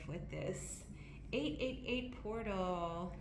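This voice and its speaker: The speech moves at a very slow pace. Audible room echo and noticeable background noise surround it. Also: woman. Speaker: tarot reader. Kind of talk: tarot reading.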